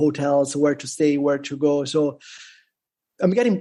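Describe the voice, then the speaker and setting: Dark and mellow in tone, a man speaks with an Italian accent and ordinary pitch variation. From Italy. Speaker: bitcoin content creator. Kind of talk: casual interview. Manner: halting, many fillers.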